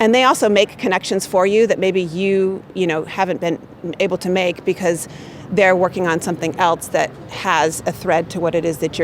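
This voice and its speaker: A woman at a fairly quick pace, with fairly even intonation and noticeable background noise. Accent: American. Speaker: marketing manager. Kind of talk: interview answers. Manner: loud.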